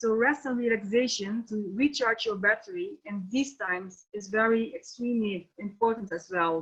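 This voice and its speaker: This woman has a Dutch accent and a fairly high pitch. She talks at a moderate pace with ordinary pitch variation. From Netherlands. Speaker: NLP trainer and coach. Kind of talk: webinar lecture. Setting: online webinar. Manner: halting, many fillers.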